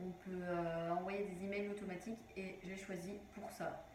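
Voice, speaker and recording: A woman speaks in a room with audible echo. Noticeable background noise runs beneath her voice. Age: 20s. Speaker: online business vlogger. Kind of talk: tutorial. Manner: hesitant, many fillers.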